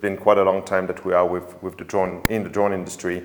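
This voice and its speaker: A man with a French accent. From France. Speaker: drone company sales manager. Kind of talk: webinar interview. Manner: halting.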